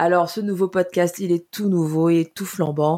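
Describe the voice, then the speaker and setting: The recording is very clean, with a silent background. The speaker has an unremarkable speaking voice, using a fairly slow pace and fairly even intonation. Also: woman. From Cameroon. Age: 20s. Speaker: podcast co-host. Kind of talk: casual podcast introduction.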